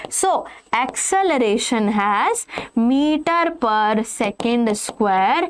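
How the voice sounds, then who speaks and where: Over noticeable background noise, a woman with a fairly high pitch talks very slowly, her voice swinging very widely in pitch. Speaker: online physics teacher. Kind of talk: lecture.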